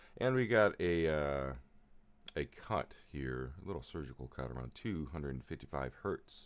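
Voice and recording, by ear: Delivered at a moderate pace, the voice is clear and smooth in tone with lively intonation. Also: man, extremely low pitch for a man.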